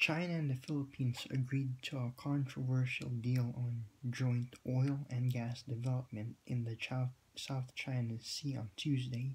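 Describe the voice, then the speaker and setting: A man speaks in a somewhat breathy voice with monotone, flat intonation. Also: medium pitch for a man. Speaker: vlogger commenting on news. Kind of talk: casual vlog with article reading. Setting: home at night. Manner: halting, many fillers and repeats.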